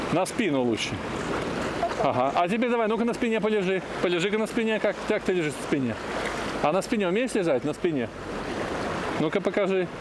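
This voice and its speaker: This man's fairly quick speech competes with loud background noise. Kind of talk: casual encouragement of a child. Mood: cheerful, praising. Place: beach. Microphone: phone near.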